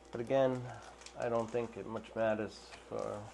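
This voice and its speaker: Speaking with an American accent, a man talks at a fairly slow pace in a monotone, flat intonation at medium pitch, with noticeable background noise. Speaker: aquarium fish hobbyist. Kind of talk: unboxing commentary. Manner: casual, halting.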